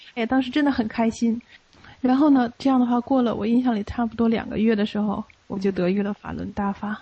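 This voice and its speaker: This woman's voice sits fairly high in pitch and sounds somewhat breathy. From Beijing, China. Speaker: Falun Gong practitioner. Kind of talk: personal testimony. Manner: halting, with many fillers.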